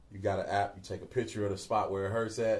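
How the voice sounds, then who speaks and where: Somewhat breathy speech at a very fast pace. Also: man. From Cincinnati, Ohio, USA. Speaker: singer and entertainer. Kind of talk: interview answer.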